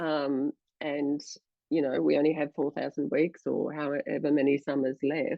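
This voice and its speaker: With an Australian accent, a woman speaks at a moderate pace in a very deep, low, monotone voice with vocal fry. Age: 60s. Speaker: journalist and presenter. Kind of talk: casual chat.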